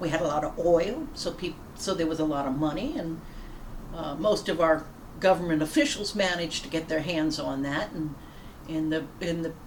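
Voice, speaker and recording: Fairly even intonation marks this speech in an American accent. Audible room echo and noticeable background noise come through. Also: woman, fairly low pitch for a woman, moderate pace. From US South, Louisiana (Plaquemines Parish). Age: 60s. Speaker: pastor. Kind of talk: devotional talk. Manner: halting.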